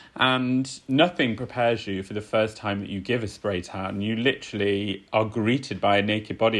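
This man has an ordinary speaking voice, medium in pitch and with ordinary pitch variation. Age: 30s. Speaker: spray tanner and self-tan brand founder. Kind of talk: casual chat.

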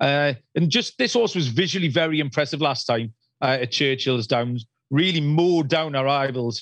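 A man with a British accent and fairly high pitch, ordinary pitch variation, very even loudness and a moderate pace, over a quiet background. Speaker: horse racing analyst. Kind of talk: casual chat. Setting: phone call.

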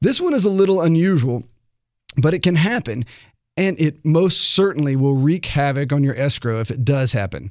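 Using an unremarkable speaking voice, a man talks at a moderate pace, fairly high in pitch, with lively intonation. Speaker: radio host. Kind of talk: radio show hosting, interview. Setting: studio.

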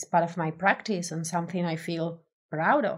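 With an Argentine accent, a woman talks at a fairly low pitch in a monotone, flat intonation on a very clean recording with a silent background. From Argentina. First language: Spanish. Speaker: designer. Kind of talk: interview. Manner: extrovert, hesitant with fillers.

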